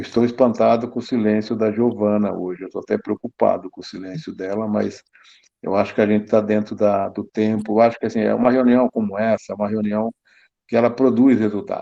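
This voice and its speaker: Fairly low and dark, mellow in tone, a man's voice moves at a fairly quick pace with monotone, flat intonation. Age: 60s. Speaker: municipal culture official. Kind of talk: online council meeting discussion.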